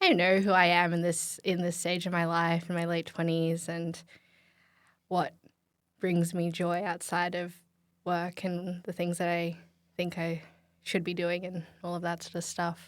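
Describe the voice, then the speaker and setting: In a very clean recording with a silent background, a woman with an Australian accent speaks at a moderate pace in a fairly low pitch, monotone and flat, with long, frequent pauses. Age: 20s. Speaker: podcast guest. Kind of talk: casual chat. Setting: studio.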